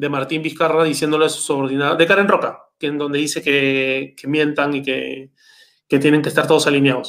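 This man has an unremarkable speaking voice. It is fairly high in pitch and moves at a moderate pace. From Peru. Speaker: youtuber. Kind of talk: casual chat.

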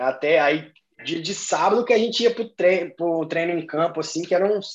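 Moving at a moderate pace, a man speaks with a high pitch and ordinary pitch variation. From Belo Horizonte, Minas Gerais, Brazil. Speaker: American football player. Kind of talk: casual chat.

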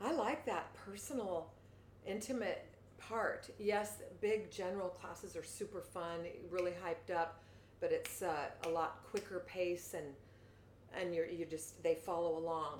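A woman speaks fairly slowly at a medium pitch, with ordinary pitch variation. Long, frequent pauses break up her speech, and the room echo is audible. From US Pacific Northwest, Seattle. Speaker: fitness coach. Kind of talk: casual interview.

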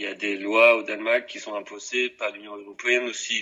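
At a medium pitch, a man delivers his words at a moderate pace. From Denmark. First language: Danish (speaking French). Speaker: interviewee. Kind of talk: interview. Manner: halting.

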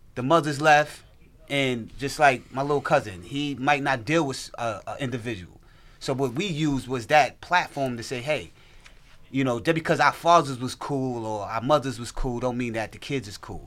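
A man with an American accent and an ordinary speaking voice at medium pitch, moderate pace, ordinary pitch variation and big swings in loudness, on a very clean recording with a silent background. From US South. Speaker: guest's cousin and label partner. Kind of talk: casual chat.

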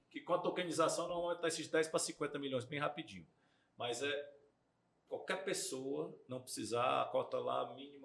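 A man's voice with big swings in loudness. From Brazil, Ceará (Fortaleza). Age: 40s. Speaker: real estate developer and investor. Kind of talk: interview, casual podcast chat.

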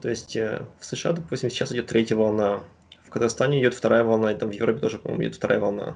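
Speaking very fast, a man with a medium-pitched, fry-tinged voice keeps his pitch varying in an ordinary way. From Kazakhstan, Astana. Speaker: PhD student in virology. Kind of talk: interview.

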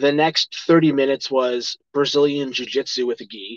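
A plain, everyday voice, this man with an American accent talks at a moderate pace with fairly high pitch and fairly even intonation, the sound dry and close with no echo. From Chicago. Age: 40s. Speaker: actor and fight commentator. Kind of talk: casual interview chat.

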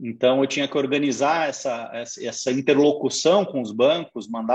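This man has an ordinary speaking voice, medium in pitch, with ordinary pitch variation, talking at a moderate pace. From Brazil, raised in Curitiba. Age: 40s. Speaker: finance executive. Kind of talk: interview. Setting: online live stream.

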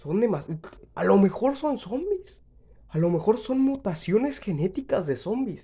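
With a Mexican accent, a man speaks fairly slowly in a high voice with a dark, mellow tone and very wide pitch swings. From Mexico. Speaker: podcaster. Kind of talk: comedic monologue. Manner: halting.

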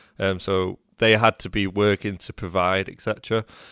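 A man with a British accent in a very clean, dry, close recording with no echo and a silent background. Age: 20s. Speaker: entrepreneur and podcaster. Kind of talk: casual interview chat.

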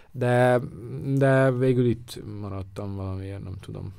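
A man speaks in an ordinary speaking voice at a medium pitch. His pitch varies in an ordinary way. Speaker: photographer. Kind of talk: casual chat. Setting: studio.

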